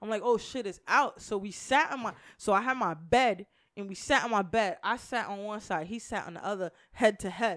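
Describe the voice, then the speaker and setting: A woman with a plain, everyday voice speaks at a moderate pace and a fairly high pitch, with ordinary pitch variation and big swings in loudness, in a very clean recording with a silent background. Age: 30s. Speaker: podcast host. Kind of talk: casual chat.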